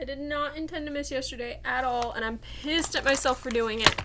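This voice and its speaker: A woman speaks over noticeable background noise. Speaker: makeup vlogger. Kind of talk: makeup tutorial.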